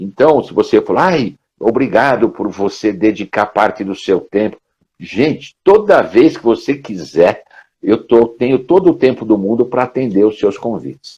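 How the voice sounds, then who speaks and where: A dark, mellow tone with lively intonation comes at a fairly slow pace over a quiet background. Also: man, medium pitch for a man. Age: 60s. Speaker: professor and career trainer. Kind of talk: casual interview chat. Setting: live stream video call.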